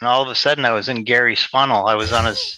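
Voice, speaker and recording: A man with a Boston accent speaks at a medium pitch in a flat monotone. His tone is bright and sharp, and the sound is dry and close with no echo. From Boston, Massachusetts. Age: 60s. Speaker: sales trainee. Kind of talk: casual chat. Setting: video call. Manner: halting. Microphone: internet call.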